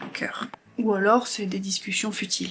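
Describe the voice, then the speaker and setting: Here a woman talks at medium pitch. Her intonation stays fairly even. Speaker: lifestyle vlogger. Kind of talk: casual chat.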